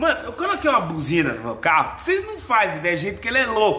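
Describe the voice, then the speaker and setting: Over music in the background and audible room echo, a raised, projected voice moves through very wide pitch swings. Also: man. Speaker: vlogger. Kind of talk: casual vlog chat. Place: garage. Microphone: phone near.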